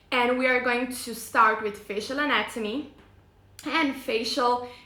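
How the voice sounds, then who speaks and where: A woman's high voice with a non-native accent, monotone, flat intonation, a fairly slow pace and audible room echo. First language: not English. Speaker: face yoga teacher. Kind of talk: live stream presentation. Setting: live online video stream. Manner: hesitant, many fillers.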